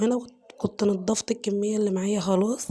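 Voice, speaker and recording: A woman's fairly high voice, monotone and flat, at a fairly quick pace over noticeable background noise. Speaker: home cooking vlogger. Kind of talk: cooking tutorial. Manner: casual, chatty.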